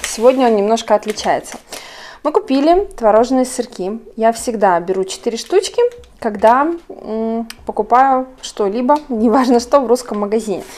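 A woman talks at a fairly high pitch with ordinary pitch variation. Noticeable background noise runs underneath. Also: moderate pace. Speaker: vlogger. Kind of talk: casual vlog narration.

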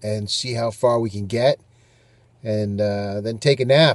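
The recording is dry with no echo as a man talks at a moderate pace. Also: quiet background. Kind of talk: casual vlog chat. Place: car. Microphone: phone near.

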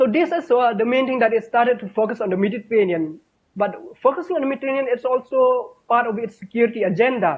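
Against a quiet background, the speech runs at a very fast pace with lively intonation. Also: man, extremely high pitch for a man. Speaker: academic in European studies; panelist. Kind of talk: panel discussion. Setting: video call. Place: home room. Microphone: video call.

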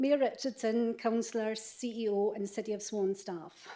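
A woman's fairly high voice with a dark, mellow tone and a Scottish accent. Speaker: member of the public making a deputation. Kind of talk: prepared statement at council meeting. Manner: formal.

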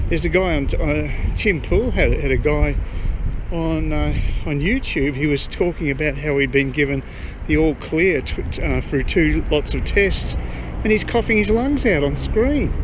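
The speech comes at a moderate pace, its sound dry with no echo, over noticeable background noise. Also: man. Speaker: vlogger. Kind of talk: casual vlog chat. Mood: concerned, opinionated. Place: street. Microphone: phone near.

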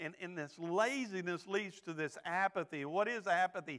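With a Texan accent, a man projects a raised voice in a bright, sharp tone at a fairly slow pace over a quiet background. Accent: Texan, Southern. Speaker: associate pastor. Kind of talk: sermon. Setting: church. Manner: earnest, exhortative preaching, with filler words and repeats; pleading, direct, with calls for amens. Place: church. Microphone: lapel.

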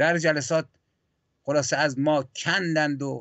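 A man with a fairly high pitch speaks, the background quiet. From Iran. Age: 60s. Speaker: poet and historian; poet. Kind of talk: political history discussion. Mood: serious, reflective, aggrieved. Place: home room. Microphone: video call.

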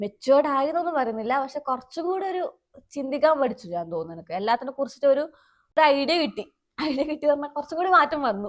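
With a high pitch, a woman speaks in very wide pitch swings. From Kerala, Kasaragod district. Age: 20s. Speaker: YouTube vlogger. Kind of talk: casual chat. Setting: outdoors.

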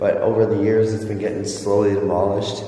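A man's fairly low voice carries audible room echo. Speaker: urban explorer vlogger. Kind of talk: casual vlog chat. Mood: nervous, creeped out. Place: factory. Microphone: phone near.

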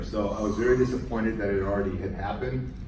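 Speech comes at a fairly quick pace with audible room echo. Noticeable background noise is present. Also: man. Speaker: guest. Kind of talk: lecture. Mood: storytelling, reflective. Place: classroom. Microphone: camera far.

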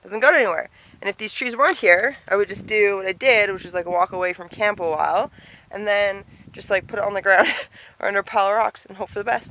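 A woman speaks at a very fast pace in a bright, sharp tone, with ordinary pitch variation and big swings in loudness, on a dry recording with no echo and light background noise. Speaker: solo hiker vlogger. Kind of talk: casual vlog chat. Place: forest. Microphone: phone near.

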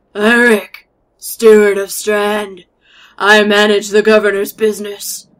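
A female-sounding, put-on character voice at medium pitch delivers its lines at a fairly slow pace. The intonation is monotone and flat.

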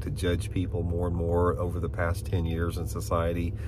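A man with a very deep, low pitch talks at a moderate pace, the sound dry with no echo but with noticeable background noise. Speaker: fishing channel host. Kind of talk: casual vlog chat. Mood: calm, reflective. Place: car. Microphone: phone near.

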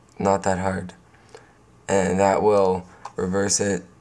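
A man with a fairly low pitch talks as background noise is clearly heard. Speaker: video editing tutorial maker. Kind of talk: casual screen-recording tutorial.

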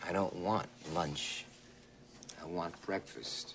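Putting on a character voice, a man speaks slowly at a low pitch with vocal fry, a fairly bright tone and fairly even intonation.

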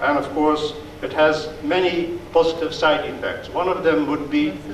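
Speech comes at a fairly slow pace, with audible room echo and light background noise. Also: man. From Netherlands. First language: Dutch. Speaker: diplomat. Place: hall. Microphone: podium.

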